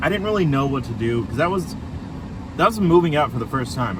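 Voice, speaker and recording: Speaking at a very fast pace, a man's pitch swings very widely. Noticeable background noise and audible room echo fill the recording. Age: 20s. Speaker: vlogger. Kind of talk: casual chat. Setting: in a car. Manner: halting.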